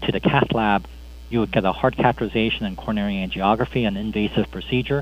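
The speaker has lively intonation and an American accent. The pace is fairly quick. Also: man. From US Midwest, Chicago. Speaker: cardiologist. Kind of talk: interview. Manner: halting, many fillers.

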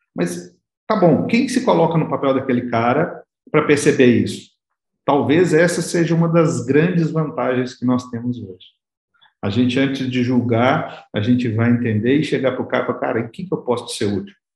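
Somewhat breathy, a man talks at medium pitch and moderate pace with lively intonation. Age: 40s. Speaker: business consultant. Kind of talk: interview.

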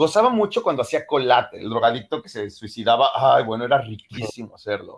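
A man talks at a fairly quick pace with hardly any pauses, his loudness swinging widely. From Mexico City area. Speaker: singer and actor. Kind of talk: interview.

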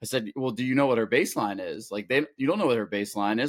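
This is an unremarkable speaking voice from a man with an American accent, at medium pitch with ordinary pitch variation. The recording is very clean with a silent background, and the sound is dry and close with no echo. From Pittsburgh, Pennsylvania. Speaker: swim coach and parent of transplant patient. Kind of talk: casual interview.

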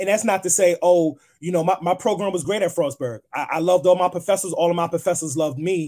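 Speaking at a fairly quick pace with an American accent, a man uses a high pitch and ordinary pitch variation. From New York, Queens. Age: 30s. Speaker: playwright and poet. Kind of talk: interview.

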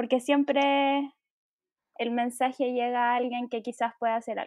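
Speaking fairly slowly with a Chilean accent, a woman keeps her high voice flat and monotone. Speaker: podcast co-host. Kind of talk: solemn commemoration; casual chat.

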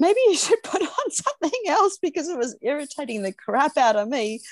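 A woman with an Australian accent talks at a fairly quick pace, with very wide pitch swings. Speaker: dog separation anxiety trainer, podcast co-host. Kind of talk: casual chat.

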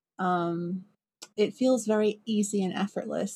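A woman with a British accent, dark and mellow in tone, somewhat breathy, with fairly even intonation. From Britain. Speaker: songwriter. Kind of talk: casual chat.

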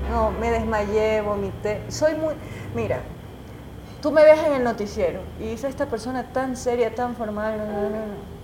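Talking at a fairly slow pace, a woman is heard with audible room echo and noticeable background noise. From Ecuador, Guayaquil. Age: 30s. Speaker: journalist and TV news anchor. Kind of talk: casual interview.

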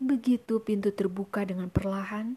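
Speech unfolds at a fairly slow pace. The background is silent and the recording very clean. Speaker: podcast host reading a story. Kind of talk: dramatic narration. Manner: slow, hushed, suspenseful storytelling with ominous pacing.

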